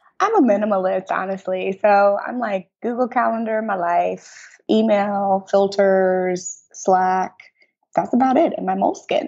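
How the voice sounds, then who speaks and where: In a normal speaking voice at a medium pitch, a woman speaks at a fairly slow pace with ordinary pitch variation. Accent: American. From US Midwest, St. Louis. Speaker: media entrepreneur. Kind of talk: interview.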